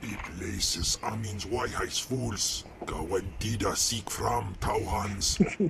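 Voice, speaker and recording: Using a put-on character voice, a man speaks at a very slow pace with a fairly low pitch over clear background noise. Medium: video game.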